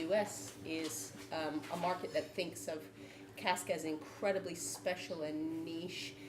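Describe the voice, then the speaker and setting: A woman with an American accent speaks in a fairly low pitch, her voice swinging very widely up and down. The room echoes audibly and background noise is noticeable. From United States. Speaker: brewer, panel member. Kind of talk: panel debate. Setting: live event with audience.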